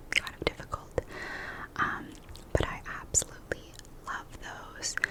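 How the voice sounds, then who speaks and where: Whispering marked by big swings in loudness and long, frequent pauses comes through over noticeable background noise. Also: woman. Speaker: ASMR creator and new mother. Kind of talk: casual whispered ramble about food. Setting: close-mic ASMR recording. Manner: whispered, soft.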